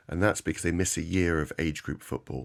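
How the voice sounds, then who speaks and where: Very deep, low male voice with vocal fry at a fairly quick pace, on a very clean recording with a silent background. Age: 60s. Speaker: knee surgeon. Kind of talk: expert interview. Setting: radio studio.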